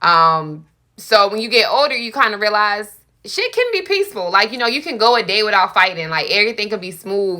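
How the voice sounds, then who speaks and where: Loud and bright with a sharp tone, a woman speaks at medium pitch and a fairly quick pace, her pitch varying in an ordinary way. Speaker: podcast guest. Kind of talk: casual chat.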